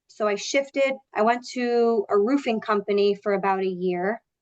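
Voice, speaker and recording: A woman with an American accent talks in a fairly high pitch with ordinary pitch variation. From New York, Long Island (Suffolk County). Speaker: sales manager. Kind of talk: interview. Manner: loud; animated.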